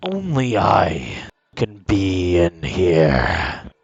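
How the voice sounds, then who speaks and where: Adopting a put-on character voice, the man pitches it very deep and low. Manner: menacing, commanding.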